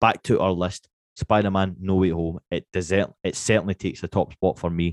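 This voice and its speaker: A man's very deep, low voice in a monotone, flat intonation, with a dry, close sound, no echo and a very clean recording over a silent background. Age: 30s. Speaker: podcast host. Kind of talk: casual chat.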